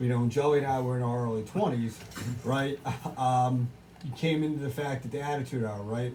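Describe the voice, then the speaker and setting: A man's medium-pitched voice at a moderate pace, with fairly even intonation over noticeable background noise. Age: 40s. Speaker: wrestling podcast co-host. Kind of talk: casual chat. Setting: bar. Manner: halting, many restarts.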